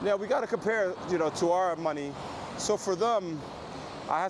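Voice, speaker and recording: A man with an American accent speaks in a high voice. Noticeable background noise runs behind him. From Pennsylvania, US. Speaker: travel vlogger. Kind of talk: live stream vlog. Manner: soft-spoken; casual.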